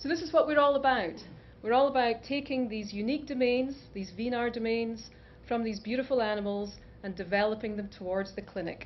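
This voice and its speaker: A woman with a Scottish accent speaks at a fairly quick pace with ordinary pitch variation, with audible room echo. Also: fairly high pitch for a woman. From Scotland, Aberdeen. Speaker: scientist and biotech founder. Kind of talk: conference talk.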